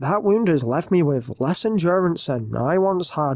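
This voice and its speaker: A man with a British accent speaks at a high pitch with very wide pitch swings. The sound is dry and close, with no echo. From Britain. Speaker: horror story narrator. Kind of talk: reading aloud.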